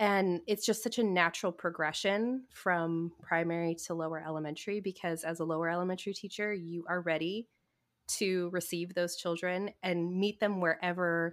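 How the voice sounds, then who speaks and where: This woman has an American accent and a fairly low pitch, and her intonation stays fairly even. The recording is very clean, with a silent background. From Central California. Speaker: Montessori guide and podcast host. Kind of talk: casual interview chat.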